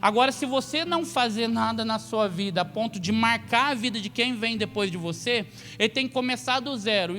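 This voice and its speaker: Music plays behind a man talking at a fairly quick pace. His pitch varies in an ordinary way. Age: 30s. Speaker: pastor. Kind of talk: sermon.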